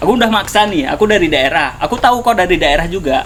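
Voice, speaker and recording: A man talks very fast while noticeable background noise plays behind him. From Aceh. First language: Acehnese (speaking Indonesian). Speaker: podcast host. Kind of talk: casual chat.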